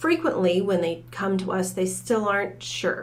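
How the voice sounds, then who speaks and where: Someone with an American accent speaks at a moderate pace with fairly even intonation amid audible room echo. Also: woman. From Michigan, US. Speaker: college academic advising director. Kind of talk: podcast interview.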